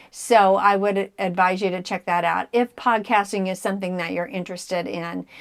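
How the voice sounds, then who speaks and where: On a very clean recording with a silent background, a woman speaks fairly quickly at a medium pitch in an ordinary speaking voice. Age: 60s. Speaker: cross stitch video blogger. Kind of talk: casual chat.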